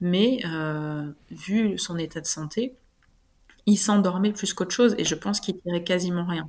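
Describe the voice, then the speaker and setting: In a normal speaking voice, a woman talks at a fairly slow pace and medium pitch with ordinary pitch variation, on a very clean recording with a silent background. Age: 30s. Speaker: adoptive mother sharing breastfeeding story. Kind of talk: interview testimony.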